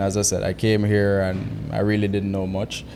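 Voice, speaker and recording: With audible room echo, a man at a fairly low pitch talks at a fairly quick pace. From Jamaica. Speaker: real estate agent. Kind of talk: interview.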